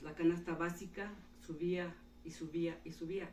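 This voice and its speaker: A woman with a fairly low pitch speaks in a flat monotone, with audible room echo around her. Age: 60s. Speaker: retired teacher. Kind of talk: interview.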